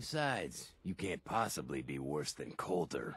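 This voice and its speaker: Put-on character voice from a man, raspy and very deep and low in pitch, moving at a moderate pace. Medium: video game. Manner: blunt, crude, streetwise.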